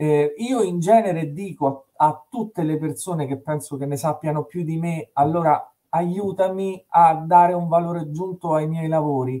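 At a moderate pace against a quiet background, a man talks with a dark, mellow tone and ordinary pitch variation. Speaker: stream host. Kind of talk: casual interview introduction. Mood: warm, reflective. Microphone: video call.

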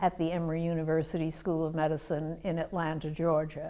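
Her voice is fairly low in pitch. The speaker is a woman. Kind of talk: interview answer. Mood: calm, measured, serious. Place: meeting room. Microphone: lapel.

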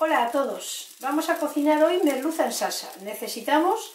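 A woman talks at a fairly slow pace. Room echo is audible in the recording. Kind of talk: cooking tutorial. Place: kitchen. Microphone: camera far.

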